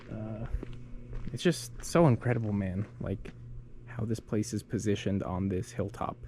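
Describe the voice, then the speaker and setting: Speaking with vocal fry and a dark, mellow tone, a man keeps a fairly low pitch and leaves long, frequent pauses. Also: ordinary pitch variation, moderate pace. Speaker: travel vlogger. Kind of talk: casual walking tour vlog. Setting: outdoors. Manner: soft-spoken, trying to be quiet; casual, filler-heavy.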